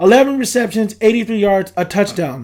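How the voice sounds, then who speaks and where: A man's lively intonation stands out in a very clean recording against a silent background. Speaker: sports podcaster. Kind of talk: casual monologue. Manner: animated.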